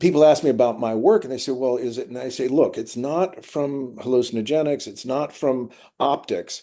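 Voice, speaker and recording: A man with an American accent speaks at a moderate pace in a dark, mellow tone of medium pitch. His pitch variation is ordinary, but his loudness swings widely. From US West Coast, Malibu California. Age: 70s. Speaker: artist. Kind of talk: interview conversation.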